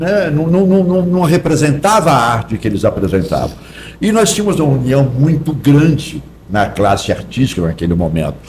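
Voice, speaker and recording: A fairly high-pitched male voice at a moderate pace, with very wide pitch swings and very even loudness, over noticeable background noise. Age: 70s. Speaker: actor. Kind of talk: podcast interview.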